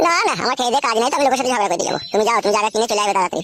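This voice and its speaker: A man's cartoonish character voice, extremely high in pitch, with ordinary pitch variation and a very fast pace. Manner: coarse, rough, insulting.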